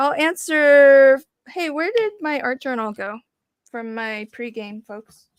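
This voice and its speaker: A high-pitched woman with an American accent, lively intonation and a very slow pace. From US South, Virginia. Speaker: craft livestream host. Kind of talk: casual chat. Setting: livestream video call with guests.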